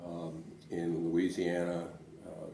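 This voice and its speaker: With an American accent, a man talks in a space with audible room echo and noticeable background noise. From US Northeast, Providence, Rhode Island. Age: 70s. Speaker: lawyer and civil rights veteran. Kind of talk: oral history interview. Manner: hesitant, many fillers.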